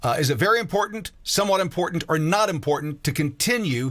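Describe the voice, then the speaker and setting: A man with an ordinary speaking voice speaks at a fairly quick pace. His pitch is fairly high and his intonation lively. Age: 50s. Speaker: campaign town hall moderator. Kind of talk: live town hall Q&A.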